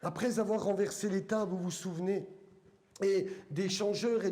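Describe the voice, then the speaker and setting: With a strong eastern French accent, a high-pitched man speaks at a fairly slow pace in a flat monotone with very even loudness, and audible room echo. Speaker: pastor. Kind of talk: sermon. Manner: halting, many fillers.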